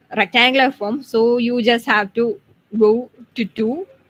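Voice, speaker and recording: A woman has a plain, everyday voice with a fairly high pitch and ordinary pitch variation. She keeps a moderate pace, and the sound is dry and close, with no echo. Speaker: student tutor. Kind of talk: tutorial.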